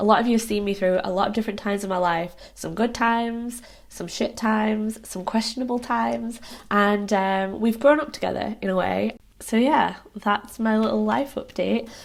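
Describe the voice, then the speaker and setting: A woman with a British accent talks at a moderate pace with fairly even intonation. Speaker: lifestyle vlogger. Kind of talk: casual vlog to camera. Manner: rambling, hesitant with ums.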